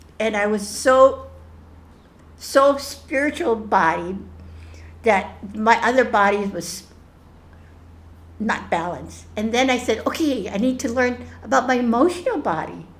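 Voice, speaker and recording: The voice has vocal fry and lively intonation. Long, frequent pauses break up the speech. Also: woman, fairly high pitch for a woman, fairly slow pace. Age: 70s. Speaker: spiritual group facilitator. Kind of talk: group sharing session. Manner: halting, many restarts and fillers.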